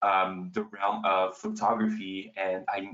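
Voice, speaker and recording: A man speaks with a French accent. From France. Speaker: astrophotographer and author. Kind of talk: panel talk. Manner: halting.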